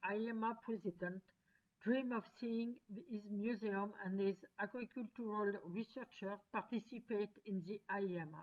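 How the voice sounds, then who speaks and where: A woman speaks with a French accent at a fairly slow pace. Her pitch is fairly high, with ordinary pitch variation. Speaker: conference presenter. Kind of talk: pre-recorded conference paper. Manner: formal.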